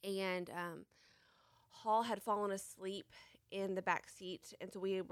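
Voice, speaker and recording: At a fairly slow pace, a woman with a Tennessee accent talks in a dry, close sound with no echo. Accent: Southern US (Tennessee). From US South, Franklin, Tennessee. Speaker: car accident and brain injury survivor. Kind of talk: testimony.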